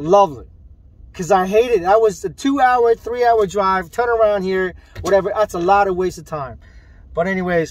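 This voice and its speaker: A man speaks at a high pitch with ordinary pitch variation and a moderate pace. The sound is dry with no echo, over a quiet background. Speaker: t-shirt seller. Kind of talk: casual vlog chat. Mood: mildly annoyed, reflective. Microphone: phone near.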